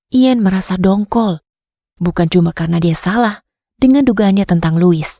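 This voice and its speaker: A woman speaks at a medium pitch with ordinary pitch variation and a dark, mellow, somewhat breathy tone. The sound is dry and close, with no echo. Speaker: voice over artist. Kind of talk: audiobook narration.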